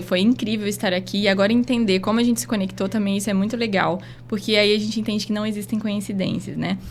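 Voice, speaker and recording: With vocal fry, a woman at a medium pitch talks at a very fast pace. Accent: strong Rondônia. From Rondônia, northern Brazil (Porto Velho). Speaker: doctor. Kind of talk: closing message in podcast interview. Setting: podcast studio.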